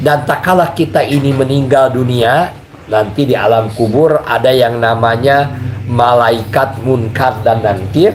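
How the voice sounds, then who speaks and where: Amid noticeable background noise and audible room echo, a man speaks at a fairly slow pace with very even loudness. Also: medium pitch for a man, ordinary pitch variation. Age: 60s. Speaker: religious teacher. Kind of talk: religious lecture.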